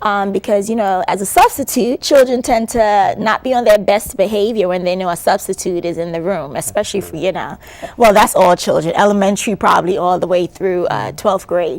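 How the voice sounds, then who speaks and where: A woman with a slight Caribbean accent talks at a medium pitch with ordinary pitch variation. She keeps a fairly quick pace with hardly any pauses. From New York City, born in Antigua. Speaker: educator and author. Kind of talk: interview. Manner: hesitant, many fillers.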